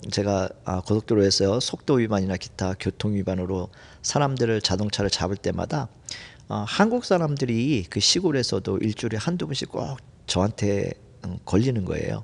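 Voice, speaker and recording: Lively intonation marks this man's fairly low voice. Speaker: former highway patrol officer, part-time seminary student. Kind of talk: testimony. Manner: halting, with many fillers.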